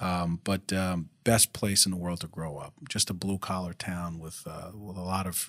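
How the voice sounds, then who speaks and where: A man's bright, sharp tone at a moderate pace, in a very clean recording with a silent background. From Rhode Island (Pawtucket), born abroad on the islands. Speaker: district attorney. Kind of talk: interview. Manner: halting, many fillers and restarts.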